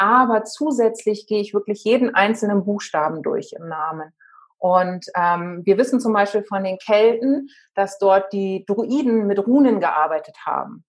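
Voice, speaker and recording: Here is an ordinary speaking voice from a woman at a medium pitch. Her pitch variation is ordinary. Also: fairly slow pace. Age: 40s. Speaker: spiritual life coach. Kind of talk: interview.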